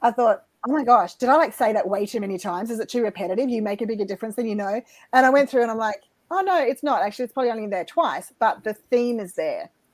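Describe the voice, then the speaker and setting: A very fast woman's voice in an Australian accent, fairly high-pitched, with ordinary pitch variation. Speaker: life coach and author. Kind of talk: interview.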